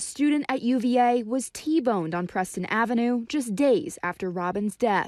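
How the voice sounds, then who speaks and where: A woman with an ordinary speaking voice and a fairly high pitch talks at a moderate pace, with ordinary pitch variation and hardly any pauses. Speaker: TV news reporter. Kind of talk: TV news report narration.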